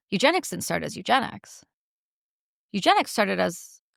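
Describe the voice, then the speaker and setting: An animated voice with an American accent, speaking very fast with vocal fry and a bright, sharp tone. The recording is very clean, with a silent background. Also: woman. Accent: sounds quite American. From Canada. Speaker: war veteran and activist. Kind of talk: interview conversation. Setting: studio in London. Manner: forceful, animated.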